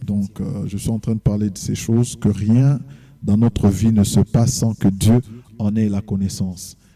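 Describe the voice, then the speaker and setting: Fairly slow delivery with fairly even intonation. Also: man. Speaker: pastor and gospel singer. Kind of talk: TV interview.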